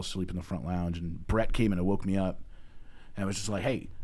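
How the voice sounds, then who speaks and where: Words come at a very fast pace in an American accent, with a dark, mellow tone, fairly even intonation and audible room echo. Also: man. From Minnesota. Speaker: podcast host. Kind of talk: casual chat.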